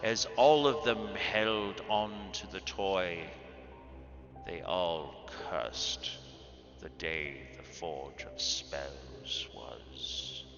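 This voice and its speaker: Over clear background music, a man in a put-on character voice speaks very slowly at a very deep, low pitch, with long, frequent pauses. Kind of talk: tragic storytelling monologue. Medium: actual play. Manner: solemn, grave.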